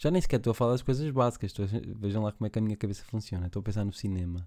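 A man's medium-pitched voice in a European Portuguese accent, dark and mellow in tone with lively intonation, on a very clean recording with a silent background. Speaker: podcast host. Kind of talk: casual monologue. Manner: rambling, halting.

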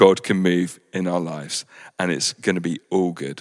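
A man's very deep, low voice at a moderate pace, in a very clean recording with a silent background. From England. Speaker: church rector preaching. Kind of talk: sermon. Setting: recorded church service for home viewers.

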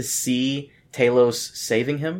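A normal speaking voice with an American accent shows ordinary pitch variation. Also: man. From Brazil. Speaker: podcast host. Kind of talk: casual chat.

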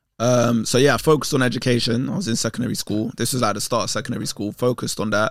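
A man with a London accent, very fast with hardly any pauses, ordinary pitch variation, on a very clean recording with a silent background. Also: medium pitch for a man. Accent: London Multicultural English. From north London, England. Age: 30s. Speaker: presenter and content creator. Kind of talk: casual chat.

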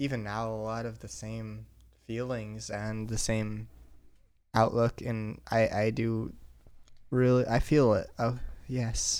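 A playful tone at a very slow pace. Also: man. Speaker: podcast host. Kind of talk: casual chat. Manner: joking, playful.

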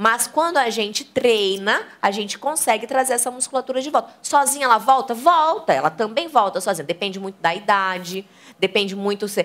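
This woman's voice sits fairly high, with lively intonation and an animated tone. She keeps a moderate pace with hardly any pauses. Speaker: sex educator and channel host. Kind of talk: live talk with audience.

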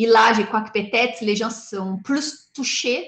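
At a moderate pace, a somewhat breathy voice speaks with a Portuguese accent. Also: woman. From southern Brazil. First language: Portuguese (speaking French). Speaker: animal rights activist. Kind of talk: interview. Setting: video call.

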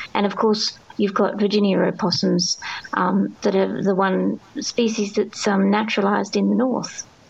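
A woman speaks with an Australian accent at a moderate pace, her pitch medium and her intonation fairly even. Her loudness stays very even over noticeable background noise. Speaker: biologist and author. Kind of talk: interview. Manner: hesitant, many fillers.

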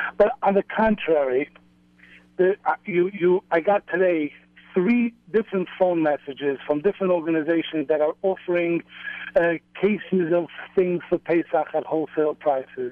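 A man talks at a high pitch and moderate pace with ordinary pitch variation and very even loudness. Noticeable background noise sits behind him. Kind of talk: casual chat. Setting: phone call.

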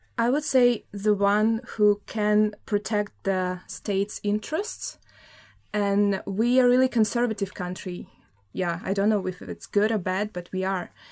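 Speaking in a Russian accent at a fairly slow pace, a woman keeps a medium pitch and fairly even intonation on a very clean recording with a silent background. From Russia (Samara). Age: 20s. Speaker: journalism student. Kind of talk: studio interview. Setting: studio.

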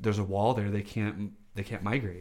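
A man at a fairly low pitch and moderate pace, in a plain, everyday voice. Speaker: guest co-host. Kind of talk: casual chat.

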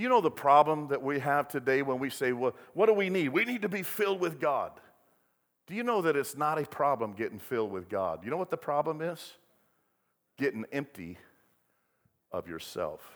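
The speech moves at a fairly quick pace with very wide pitch swings and long, frequent pauses, on a very clean recording with a silent background. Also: man, fairly high pitch for a man. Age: 60s. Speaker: pastor. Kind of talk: sermon.

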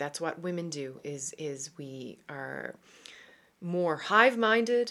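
A woman's fairly low-pitched voice. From Canada, Newfoundland. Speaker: podcast host and women's empowerment coach. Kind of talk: casual monologue podcast. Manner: hesitant, many fillers and repetitions.

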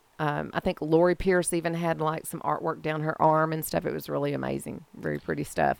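Hardly pausing, a woman speaks at a fairly quick pace. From Texas, Mesquite. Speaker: arts council volunteer and gala organizer. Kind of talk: casual chat.

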